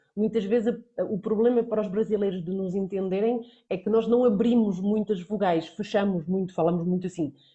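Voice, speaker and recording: A woman with a medium pitch speaks at a fairly quick pace, her voice somewhat breathy and her intonation fairly even. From central Portugal. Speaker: Portuguese language teacher. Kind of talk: online lesson.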